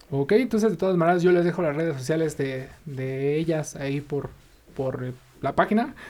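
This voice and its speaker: A man has an unremarkable speaking voice with a fairly high pitch. He keeps a moderate pace and ordinary pitch variation. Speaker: podcast host. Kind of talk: interview.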